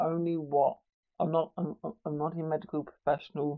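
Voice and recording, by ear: A man at a fairly high pitch, fairly slow, with vocal fry and little pitch movement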